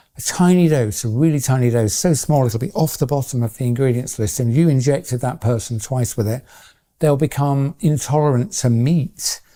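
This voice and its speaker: On a very clean recording with a silent background, a man with a dark, mellow tone speaks at a medium pitch and moderate pace with ordinary pitch variation. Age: 60s. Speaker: retired research scientist. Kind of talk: interview.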